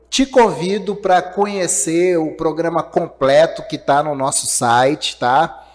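A man's voice sits high in pitch, with lively intonation. He speaks at a very slow pace. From Minas Gerais, Brazil. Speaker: podcast host. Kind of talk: live-streamed interview podcast. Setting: live stream.

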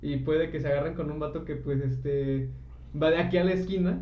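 Room echo can be heard around a man as he speaks. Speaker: podcast co-host. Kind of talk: casual chat. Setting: live stream.

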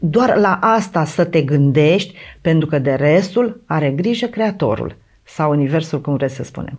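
A woman's very deep, low voice, lively in intonation and fairly slow in pace. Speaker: mental training instructor and meditation creator. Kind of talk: casual chat. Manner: halting.

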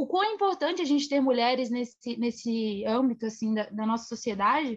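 A woman speaks with very wide swings in pitch. The background is quiet. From Brazil, Minas Gerais. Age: 20s. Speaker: journalist. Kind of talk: interview.

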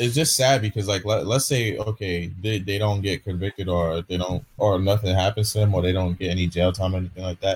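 Speaking at a fairly quick pace with hardly any pauses, a man uses a fairly low, somewhat breathy voice. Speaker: streamer. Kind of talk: casual chat. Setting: video call. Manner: halting.

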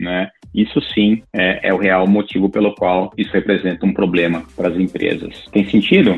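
A man with a very deep, low pitch speaks at a moderate pace. His intonation is fairly even, with hardly any pauses. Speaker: tech executive and university lecturer. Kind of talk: interview. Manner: halting, many filler repeats.

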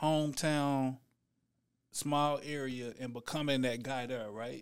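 A man's normal speaking voice at medium pitch with an American accent, fairly slow and with fairly even intonation, on a very clean recording with a silent background. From Dallas, Texas. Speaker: rapper. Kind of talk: casual interview.

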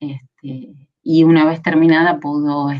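This woman speaks with a very deep, low pitch. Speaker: film conservator and researcher. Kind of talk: interview conversation. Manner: hesitant with fillers.

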